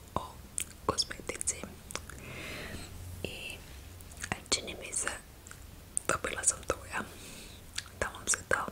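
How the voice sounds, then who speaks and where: A woman whispering in a relaxed tone at a very slow pace, with noticeable background noise. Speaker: ASMR creator. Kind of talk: casual talk to camera about cosmetics. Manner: soft-spoken, relaxed.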